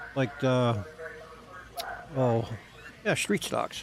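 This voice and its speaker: A man in a New Jersey accent, with noticeable background noise. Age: 50s. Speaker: RC car hobbyist streamer. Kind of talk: casual live stream chat. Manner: halting, repeats words.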